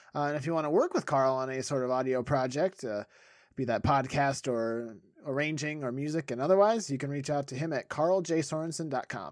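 A man talks at a fairly quick pace with fairly high pitch and ordinary pitch variation. It is an ordinary speaking voice. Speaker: comedy podcast host. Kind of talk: casual comedy banter.

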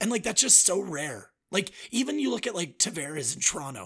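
With an upbeat tone and some vocal fry, a man talks at a very fast pace. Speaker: podcast host. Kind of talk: casual chat. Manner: conversational, upbeat.

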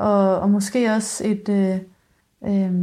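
A woman speaks at medium pitch in a dark, mellow, somewhat breathy tone. Her delivery is monotone and flat, at a very slow pace. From rural Denmark. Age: 20s. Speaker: musician and singer-songwriter. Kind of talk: casual interview chat.

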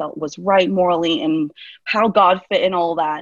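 Using an ordinary speaking voice with an American accent, a woman talks at a fairly slow pace in a medium pitch with ordinary pitch variation, the sound dry and close with no echo. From Central Florida, US. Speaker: youth minister and theology student. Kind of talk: interview conversation.

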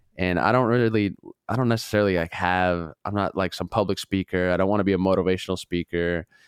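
A man with an American accent talks at a very fast pace in a very deep, low voice, his intonation fairly even. The sound is dry and close with no echo, over a quiet background. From Minnesota, US Midwest. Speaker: podcast guest, former military nuclear weapons guard. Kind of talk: casual chat. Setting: studio.

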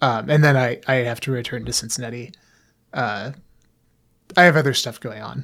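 Speaking at a moderate pace with long, frequent pauses, a man with vocal fry and a medium pitch shows ordinary pitch variation on a very clean recording with a silent background. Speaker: podcast co-host. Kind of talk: casual chat. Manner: hesitant, many filler words.

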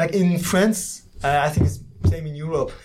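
The speaker has a French accent and goes at a fairly slow pace. Noticeable background noise is present. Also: man. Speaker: exchange student in engineering. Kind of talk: casual interview.

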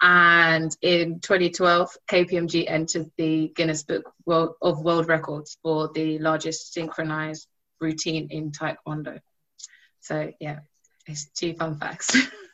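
A woman's fairly low, bright, sharp voice, monotone and flat, at a very slow pace. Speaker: technology audit graduate. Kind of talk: webinar panel talk.

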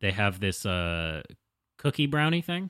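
Here is a bright, sharp voice with an American accent and very wide pitch swings. The recording is very clean, the background silent. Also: man. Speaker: podcast host. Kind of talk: casual chat.

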